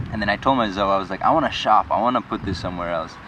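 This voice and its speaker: A man is talking. Audible room echo and noticeable background noise fill the recording. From Nepal, Everest region; moved to Colorado at twelve. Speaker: instrument maker. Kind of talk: documentary interview. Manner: halting.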